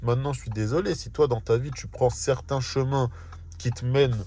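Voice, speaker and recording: A somewhat breathy man at a moderate pace. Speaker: vlogger. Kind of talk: casual vlog monologue. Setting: in a car.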